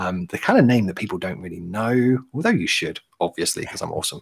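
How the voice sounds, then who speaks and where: Talking at a fairly quick pace, a man keeps his pitch fairly low. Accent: British. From London, England. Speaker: business strategist. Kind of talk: casual livestream chat. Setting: video call livestream.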